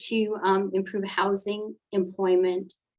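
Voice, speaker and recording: At a fairly slow pace, a woman uses a normal speaking voice at medium pitch. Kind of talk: policy presentation.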